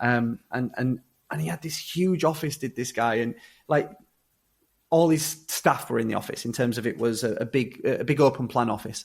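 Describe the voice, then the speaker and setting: With a Yorkshire accent, a man speaks at a moderate pace. His medium-pitched voice carries lively intonation. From Yorkshire, England. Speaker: social entrepreneur, former prisoner. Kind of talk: podcast interview. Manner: hesitant, many repetitions and fillers.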